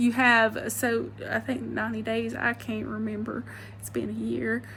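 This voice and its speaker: A woman speaks at a fairly slow pace in an Alabama accent. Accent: Alabama Southern. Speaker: vlogger, former real estate agent. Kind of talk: casual advice vlog. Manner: casual, hesitant with many fillers.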